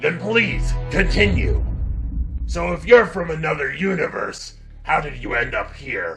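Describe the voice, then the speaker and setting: Over clear background music, a man performs a put-on character voice at a fairly slow pace. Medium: audio drama. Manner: blunt, tough.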